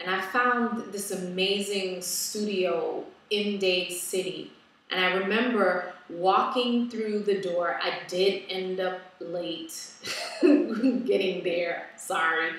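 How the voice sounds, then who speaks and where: Strong room echo surrounds a woman speaking at a very slow pace. Her pitch varies in an ordinary way. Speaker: wellness vlogger. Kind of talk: casual vlog chat. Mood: reflective, personal. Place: home room. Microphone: webcam.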